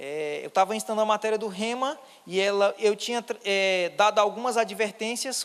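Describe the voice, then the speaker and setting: With a Ceará accent, a man speaks at a high pitch and with ordinary pitch variation. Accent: northeastern Brazilian Portuguese (cearense). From Ceará, northeast Brazil. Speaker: pastor. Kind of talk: sermon. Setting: church.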